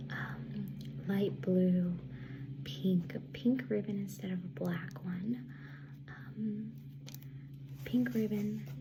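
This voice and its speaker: Over noticeable background noise, a woman talks at a very slow pace with long, frequent pauses. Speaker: ASMR artist. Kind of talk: ASMR roleplay, soft-spoken. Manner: soft-spoken, friendly, welcoming.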